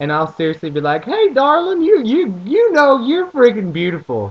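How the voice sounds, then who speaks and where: A man speaks with an American accent. His intonation is lively and his pace moderate. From US South, rural farm area. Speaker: vlogger. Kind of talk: casual vlog monologue. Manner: rambling, animated.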